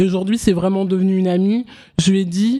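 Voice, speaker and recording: Dark, mellow tone in a medium-pitched female voice. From France, Paris suburbs and Oise. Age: 20s. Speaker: author. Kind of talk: casual interview. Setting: live event with audience.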